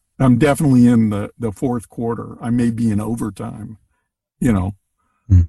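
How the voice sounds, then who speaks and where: A man with a medium pitch and a dark, mellow, somewhat breathy tone speaks at a moderate pace with ordinary pitch variation and long, frequent pauses, the sound dry and close with no echo. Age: 70s. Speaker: podcast guest. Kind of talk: casual chat.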